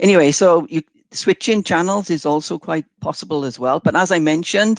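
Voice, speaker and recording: A man with a Welsh accent speaks at a moderate pace with lively intonation, in a dry, close sound with no echo over a quiet background. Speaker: software demo presenter. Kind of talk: webinar product demo. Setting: online webinar. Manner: hesitant, many fillers.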